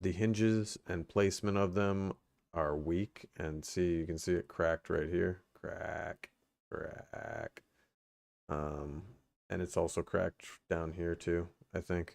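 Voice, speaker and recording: Quiet and very slow, with long, frequent pauses, a man speaks at a very deep, low pitch with fairly even intonation in a dry, close sound with no echo on a very clean recording with a silent background. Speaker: tech streamer. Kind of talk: casual livestream chat.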